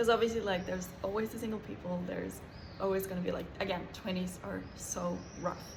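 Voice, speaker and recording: Fairly quick speech from a woman at medium pitch, with fairly even intonation, audible room echo and noticeable background noise. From Norway. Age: 20s. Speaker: vlogger. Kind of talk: casual chat.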